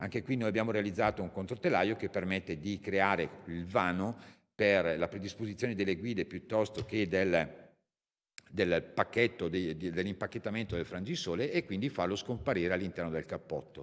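In an ordinary speaking voice, a man talks at a moderate pace with a fairly low pitch and ordinary pitch variation against a quiet background. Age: 50s. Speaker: company representative; presenter, speaker. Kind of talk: technical product presentation. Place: hall. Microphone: podium.

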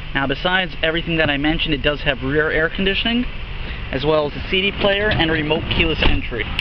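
Over noticeable background noise, a man speaks at a very fast pace with ordinary pitch variation and a dry sound with no echo. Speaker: car salesperson. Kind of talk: product walk-around commentary. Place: street. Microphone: phone near.

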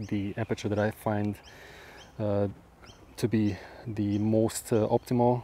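In a dry recording with no echo, a man speaks with monotone, flat intonation. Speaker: macro photographer vlogger. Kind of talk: casual vlog chat. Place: open country. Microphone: lapel.

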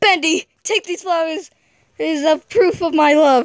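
This put-on character voice sits at an extremely high pitch. The pace is moderate. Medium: fan dub. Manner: eager, pleading.

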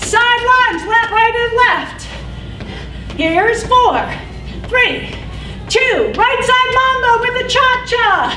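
A woman's raised, projected voice at a very slow pace with fairly even intonation, faint music in the background. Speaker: fitness instructor. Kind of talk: exercise class cueing. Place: gym.

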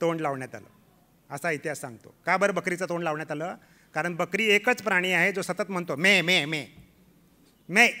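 A man with a high pitch and a bright, sharp tone. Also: ordinary pitch variation. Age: 50s. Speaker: health awareness speaker; speaker. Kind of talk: health talk. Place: hall. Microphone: podium.

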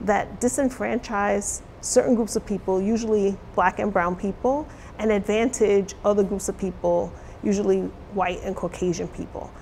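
Over light background noise, a woman with an American accent speaks at a fairly slow pace. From New York City. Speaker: college diversity officer; interviewee, college diversity educator. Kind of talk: interview. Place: studio.

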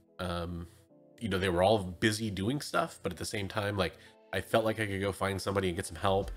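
Fairly quick speech with fairly even intonation over faint music in the background. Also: man. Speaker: comic collector vlogger. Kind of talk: casual vlog chat. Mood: relaxed, thoughtful. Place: home room.

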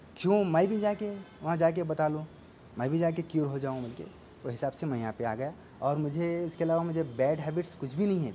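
A man speaks at a moderate pace with a fairly high pitch and ordinary pitch variation. His tone is dark and mellow, and there is light background noise. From Telangana, India (Narayanpet district); Telangana, India. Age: 30s. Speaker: cancer patient. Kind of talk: testimony. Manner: halting. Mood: calm, earnest.

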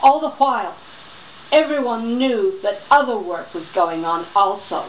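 With a New York accent, a woman speaks at a moderate pace in a high pitch with lively intonation, over light background noise. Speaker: voice-over artist; reader. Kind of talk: reading aloud. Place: home room. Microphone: camera far.

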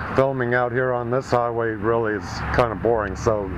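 A man speaks at a moderate pace. Noticeable background noise sits behind him. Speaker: motorcycle rider vlogger. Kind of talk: casual vlog chat. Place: garage. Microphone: phone near.

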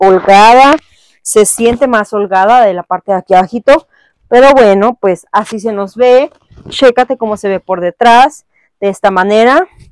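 In a dry setting with no echo, a woman speaks at a fairly slow pace with ordinary pitch variation. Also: quiet background. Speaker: fitness clothing reviewer. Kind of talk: casual haul review chat. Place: home room.

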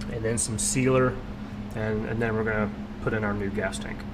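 A man speaks with ordinary pitch variation over loud background noise. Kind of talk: tutorial. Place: garage. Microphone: phone near.

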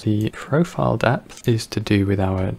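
A man speaks over noticeable background noise. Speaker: 3D graphics tutorial creator. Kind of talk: software tutorial narration.

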